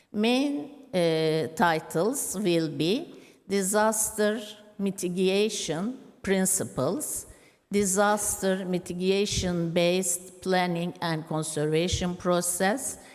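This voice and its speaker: Over audible room echo, a woman at a medium pitch talks at a very slow pace with ordinary pitch variation and very even loudness. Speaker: symposium speaker. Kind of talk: conference talk.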